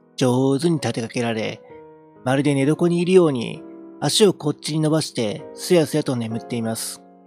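Faint music in the background and a dry sound with no echo. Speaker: amateur reader / game streamer. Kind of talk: literary audiobook reading. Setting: home recording with a handheld mic and audio interface.

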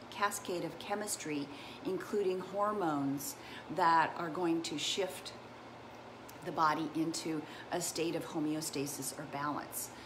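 Through noticeable background noise, a woman with a fairly low pitch speaks at a fairly slow pace. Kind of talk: casual educational livestream talk. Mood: warm, enthusiastic. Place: home room. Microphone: earbuds.

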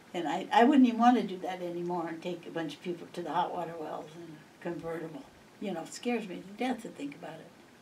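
Over light background noise, a woman with a fairly low pitch talks at a very fast pace with ordinary pitch variation. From Montana. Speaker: local elder sharing history; interviewee. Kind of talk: oral history interview. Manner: rambling, halting. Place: home room. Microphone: camera far.

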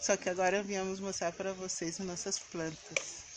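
There is noticeable background noise behind this woman. She speaks at a moderate pace. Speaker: home vlogger. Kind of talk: casual vlog chat. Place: garden. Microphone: phone near.

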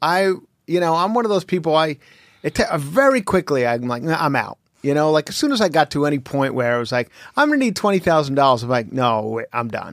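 Against a quiet background, a man talks at a fairly quick pace with a fairly high pitch. The sound is dry, with no echo. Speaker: stand-up comedian. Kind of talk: casual chat. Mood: joking, relaxed. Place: studio. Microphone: studio mic.

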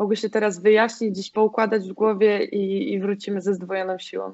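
A woman's ordinary speaking voice, fairly high-pitched, at a moderate pace against a quiet background. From Poland, grew up in the mountains then Piła; Poland. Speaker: volleyball player; guest. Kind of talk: casual interview; interview answer. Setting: home, in quarantine. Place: home room. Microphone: video call.

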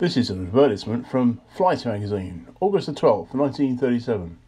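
Against a quiet background, a man talks at a fairly slow pace in a dark, mellow tone with very wide pitch swings. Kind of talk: reading aloud a 1930s magazine advertisement. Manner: formal, even, deliberate read-out of text; measured, informative, matter-of-fact.

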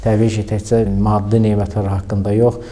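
Through noticeable background noise, a man speaks very slowly in a fairly low voice. His intonation is monotone and flat. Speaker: religious preacher. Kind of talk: religious talk. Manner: hesitant fillers.

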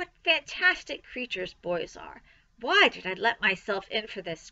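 A woman performs a put-on character voice at medium pitch, with big pitch swings and vocal fry. Her tone is bright and sharp, and her pace is fairly slow.

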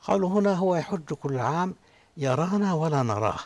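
Somewhat breathy and fairly slow, the voice carries lively intonation. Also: man. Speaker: Islamic scholar; guest. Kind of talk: religious studio discussion. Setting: studio with audience. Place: studio.

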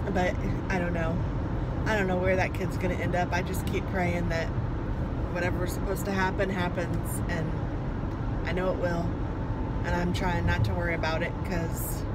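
A woman speaks at a moderate pace, leaving long, frequent pauses. Loud background noise runs underneath. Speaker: parent vlogger. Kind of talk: casual vlog chat. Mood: reflective, a bit worried. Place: car. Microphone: phone near.

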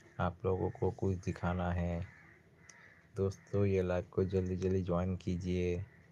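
A man's very deep, low voice, dark and mellow, in a monotone, flat intonation. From Assam, near Silchar (Barak Valley). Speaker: small YouTube shorts creator. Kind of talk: solo livestream chat. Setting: late-night live stream.

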